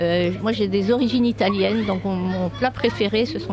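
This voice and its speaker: With music in the background and audible room echo, a woman speaks at a moderate pace. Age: 60s. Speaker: politician, former teacher. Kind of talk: interview. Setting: conference event. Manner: halting.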